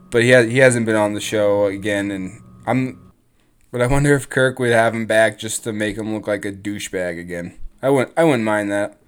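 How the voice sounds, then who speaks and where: On a very clean recording with a silent background, a man with an unremarkable speaking voice talks fairly quickly at a fairly low pitch, his intonation fairly even. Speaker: podcast host. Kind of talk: scripted-style podcast narration.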